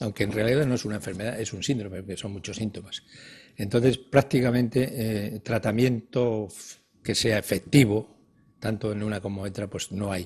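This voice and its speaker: Loudness swings widely in this man's fairly low, somewhat breathy voice. He keeps a moderate pace and fairly even intonation. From Spain, Galicia (Ferrol area); Galicia, Spain. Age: 70s. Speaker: retired geriatrician; guest. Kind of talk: TV interview. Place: studio. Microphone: lapel.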